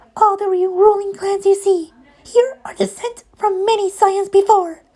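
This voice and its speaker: A squeaky, put-on character voice at an extremely high pitch and a moderate pace. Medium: read story.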